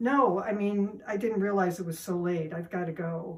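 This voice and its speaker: Using a croaky, put-on character voice, a woman speaks at medium pitch and a moderate pace with ordinary pitch variation. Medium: read story. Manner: nervous, hesitant.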